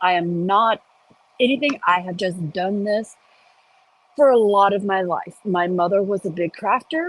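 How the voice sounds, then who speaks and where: Recorded dry and close with no echo, a woman talks fairly slowly at a medium pitch with ordinary pitch variation. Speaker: crochet teacher. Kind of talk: tutorial. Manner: casual, chatty.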